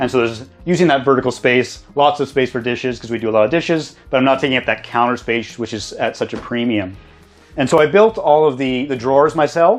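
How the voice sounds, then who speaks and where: The speaker has a Canadian accent and a very fast pace, with ordinary pitch variation. Music plays in the background. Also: man, medium pitch for a man. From Canada, Alberta (Lethbridge). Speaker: welder, tiny house builder. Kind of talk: casual home tour.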